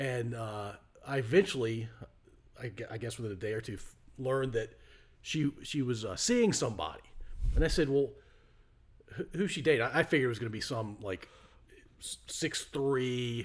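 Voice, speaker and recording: A man speaks at a moderate pace and medium pitch. He leaves long, frequent pauses. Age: 50s. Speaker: podcast host. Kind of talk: casual interview chat.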